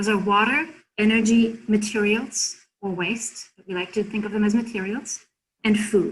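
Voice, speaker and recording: This woman has a German accent and a fairly high pitch. Her pace is moderate. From Germany. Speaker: consultant presenter. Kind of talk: workshop presentation.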